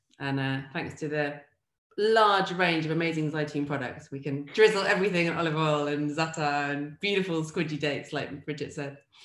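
Audible room echo around a woman's very deep, low voice with ordinary pitch variation. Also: fairly quick pace. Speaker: food writer and cook. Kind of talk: interview. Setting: video call. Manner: casual, humorous. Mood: warm, smiling, relaxed. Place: home room. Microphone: video call.

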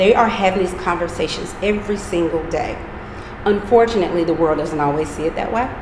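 Over noticeable background noise, a speaker with an American accent talks at a fairly quick pace with ordinary pitch variation. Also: woman. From US South, eastern North Carolina (Pitt County); North Carolina. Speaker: project founder. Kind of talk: interview.

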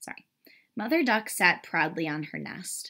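The speaker is reading aloud in a natural voice against a quiet background.

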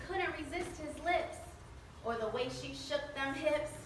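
A woman with an American accent projects a raised voice at a high pitch and moderate pace, with ordinary pitch variation. Light background noise and audible room echo are present. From Mexican American. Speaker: motivational speaker. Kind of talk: spoken word poetry performance. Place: hall. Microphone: camera far.

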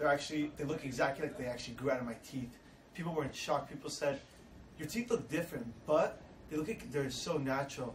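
Audible room echo surrounds a man talking fast at a medium pitch. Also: ordinary pitch variation.

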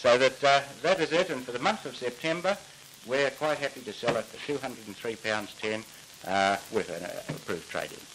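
A man talks at a fairly quick pace, his loudness swinging widely. Noticeable background noise sits behind him. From Australia. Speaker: appliance salesman. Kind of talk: vintage TV commercial, interview-style. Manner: relaxed, chatty, slightly unscripted. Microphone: handheld.

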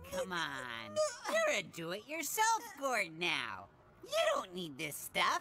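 A cartoonish character voice moves along at a fairly slow pace.

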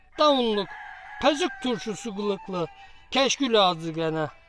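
Spoken at a fairly slow pace with an Eastern Black Sea accent, the voice sits over music playing in the background. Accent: Giresun dialect. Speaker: poet. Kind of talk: poetry reading.

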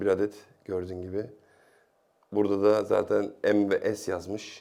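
A man speaks in a fairly low pitch with a dark, mellow tone. The recording is very clean, with a silent background. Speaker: tech YouTuber. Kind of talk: product review. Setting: home.

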